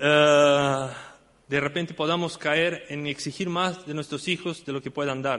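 A man with an ordinary speaking voice talks at a fairly slow pace, his fairly high pitch held in fairly even intonation. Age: 50s. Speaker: church deacon and Sunday school teacher. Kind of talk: sermon.

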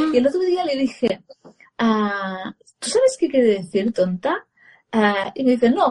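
Using a high pitch with very wide pitch swings, a woman talks at a fairly slow pace with long, frequent pauses. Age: 40s. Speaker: parenting educator and former radio journalist. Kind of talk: casual live-stream interview.

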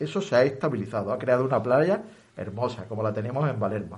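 A man's medium-pitched, somewhat breathy voice with audible room echo. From Balerma, Almería, Spain. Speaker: retired teacher and activist. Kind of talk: radio interview. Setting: radio studio.

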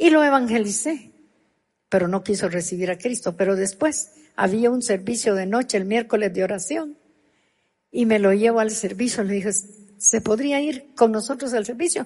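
A somewhat breathy woman's voice, fairly high in pitch, at a moderate pace with lively intonation. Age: 70s. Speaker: pastor. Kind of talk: sermon.

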